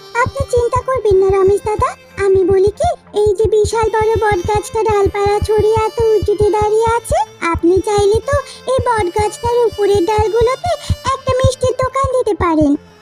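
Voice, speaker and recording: A woman puts on a cartoonish character voice at an extremely high pitch. She keeps a moderate pace over clear music in the background. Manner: respectful, earnest.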